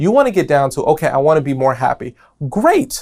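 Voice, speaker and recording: A man with an American accent, fairly high in pitch, speaking at a fairly quick pace in an animated tone. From New York. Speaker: podcast host. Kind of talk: casual podcast monologue.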